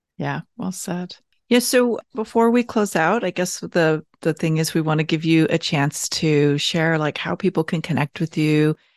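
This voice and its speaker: A woman with a plain, everyday voice speaks at a fairly low pitch with ordinary pitch variation and hardly any pauses, in a dry, close sound with no echo and a quiet background. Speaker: podcast host. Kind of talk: panel discussion.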